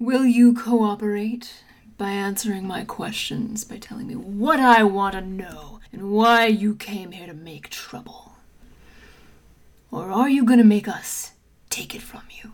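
A woman's put-on character voice, fairly high and fairly slow. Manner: theatrical, menacing, then exasperated and familiar.

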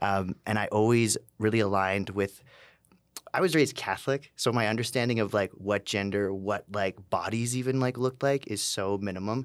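In a very clean recording with a silent background, a man with a Canadian accent and a normal speaking voice talks at a moderate pace, his fairly low pitch held in fairly even intonation. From Calgary, Canada. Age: 30s. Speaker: tattoo artist and burlesque performer. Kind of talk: interview.

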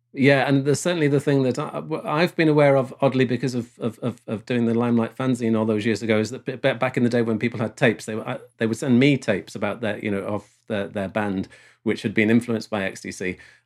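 This man speaks at a very fast pace with hardly any pauses. His pitch is medium, with ordinary pitch variation. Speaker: podcast host. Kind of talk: casual chat. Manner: chatty, laughs often.

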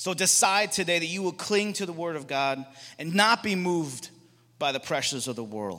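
At a moderate pace, a man speaks in a high pitch with an animated, bright, sharp tone and lively intonation. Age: 40s. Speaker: guest speaker at a Bible school chapel. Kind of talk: sermon. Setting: chapel with live audience.

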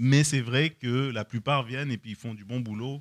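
An unremarkable speaking voice from a man at a moderate pace, with fairly even intonation, dry, close sound with no echo, and a very clean recording with a silent background. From France. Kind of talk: casual chat.

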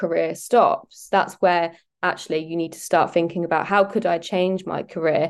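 A woman with a plain, everyday voice speaks at a moderate pace in a fairly low pitch, with ordinary pitch variation. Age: 20s. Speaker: private chef. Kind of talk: interview.

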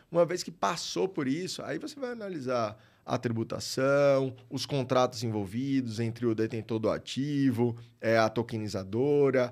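In a very clean recording with a silent background, a man with a plain, everyday voice speaks at a fairly slow pace and medium pitch with ordinary pitch variation. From Brazil, Maceió, Alagoas. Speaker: tax lawyer. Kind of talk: casual interview.

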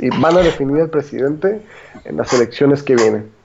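A man's normal speaking voice, fairly high in pitch, with lively intonation. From Mexico, Guadalajara. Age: 20s. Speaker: economist and political commentator. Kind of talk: casual political discussion.

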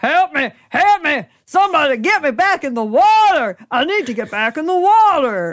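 Shouting in a put-on character voice, the speaker goes high in pitch with very wide pitch swings. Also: moderate pace, very clean recording, silent background. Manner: pleading; screaming.

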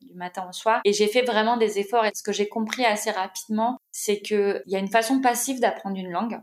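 A woman with a plain, everyday voice, fairly high in pitch, talks at a fairly quick pace with hardly any pauses, fairly even intonation and big swings in loudness. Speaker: content writer and author. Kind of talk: casual interview conversation.

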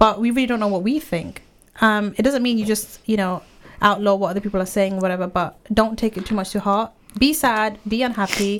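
An unremarkable speaking voice from a woman, fairly high in pitch, fairly quick and fairly even, on a very clean recording with a silent background. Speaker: parent and author. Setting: radio studio. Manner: warm, conversational.

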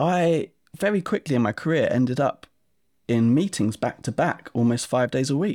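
In a very clean recording with a silent background and a dry, close sound with no echo, a man speaks with very wide pitch swings. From Essex, England. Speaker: software company co-founder. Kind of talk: casual interview chat.

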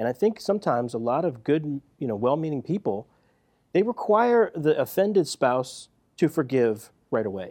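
Speaking with an American accent at a moderate pace, a man with a dark, mellow tone and fairly high pitch makes very wide pitch swings against a quiet background. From US Northeast, West Philadelphia. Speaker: counselor. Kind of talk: casual chat.

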